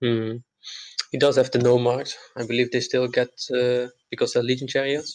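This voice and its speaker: Someone with a Dutch accent speaks at a moderate pace in a monotone, flat intonation, leaving long, frequent pauses. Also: man, medium pitch for a man. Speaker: tabletop wargame player. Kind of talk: casual discussion.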